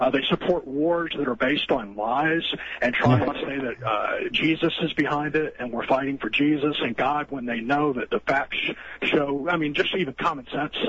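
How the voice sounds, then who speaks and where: A man with an American accent speaks at a moderate pace in a fairly high pitch, with ordinary pitch variation and noticeable background noise behind him. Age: 40s. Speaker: caller. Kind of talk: phone-in call. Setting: phone call. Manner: halting.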